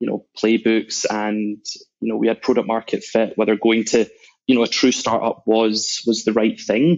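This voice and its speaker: A man with a Scottish accent speaks at a medium pitch and fairly slow pace. His intonation is monotone and flat. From Scotland, Glasgow. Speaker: sales executive. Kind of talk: podcast interview.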